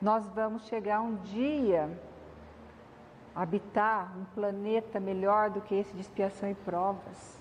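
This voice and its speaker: The speech is soft-spoken and somewhat breathy, at a very slow pace. Long, frequent pauses break up the fairly even intonation. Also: woman, medium pitch for a woman. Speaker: spiritist lecturer. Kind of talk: lecture.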